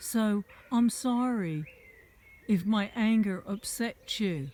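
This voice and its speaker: With an American accent, a woman speaks at a fairly high pitch. Her pace is very slow. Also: ordinary pitch variation. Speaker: vlogger. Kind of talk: rant. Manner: animated.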